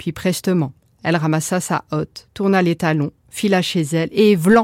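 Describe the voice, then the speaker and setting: Dry and close with no echo, a woman's fairly low voice shows ordinary pitch variation on a very clean recording with a silent background. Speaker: storyteller. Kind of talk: bedtime story telling, fairy-tale narration. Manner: soft, gentle, lilting storyteller's cadence; slow, hushed, dramatic, expressive.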